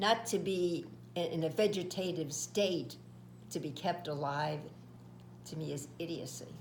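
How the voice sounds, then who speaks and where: With vocal fry and ordinary pitch variation, a woman speaks at a very deep, low pitch amid audible room echo. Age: 80s+. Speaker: elderly parent. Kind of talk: family discussion.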